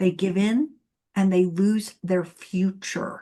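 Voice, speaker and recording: Against a quiet background, a woman speaks in a somewhat breathy voice at medium pitch with fairly even intonation. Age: 60s. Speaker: divorce coach and podcast host. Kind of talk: interview conversation.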